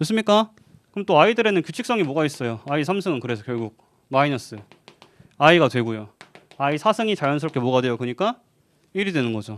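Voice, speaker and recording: Fairly high in pitch, a man talks very fast with very wide pitch swings and long, frequent pauses. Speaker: math lecturer. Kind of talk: lecture.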